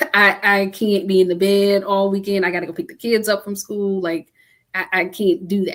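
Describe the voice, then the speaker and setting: Here is a woman with an ordinary speaking voice at medium pitch. She keeps a moderate pace and fairly even intonation. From US Midwest (Cleveland, Ohio). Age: 40s. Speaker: author. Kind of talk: interview conversation.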